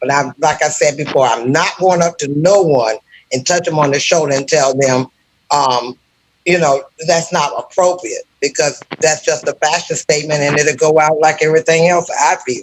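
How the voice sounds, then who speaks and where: In a normal speaking voice, a man talks at a moderate pace with a fairly high pitch and fairly even intonation. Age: 50s. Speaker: caller on live show. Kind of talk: casual chat.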